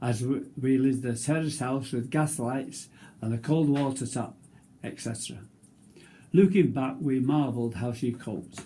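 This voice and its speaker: At a moderate pace, a man speaks in a dark, mellow, somewhat breathy voice of medium pitch with ordinary pitch variation. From northern England. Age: 90s. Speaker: war veteran. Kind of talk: reading aloud; casual chat. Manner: halting.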